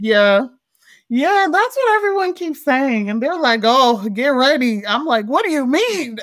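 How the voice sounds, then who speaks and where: A woman with an American accent speaks at a fairly slow pace in a high pitch, her animated tone marked by very wide pitch swings, on a very clean recording with a silent background. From US, Montgomery County, Maryland. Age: 30s. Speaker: youth advocate and activist. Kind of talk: casual interview chat.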